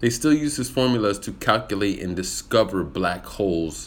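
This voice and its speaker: With an animated tone, a man with a fairly low voice talks at a fairly slow pace. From US military upbringing, German heritage. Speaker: actor and public speaking coach. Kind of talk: livestream monologue with viewer Q&A. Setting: live video stream.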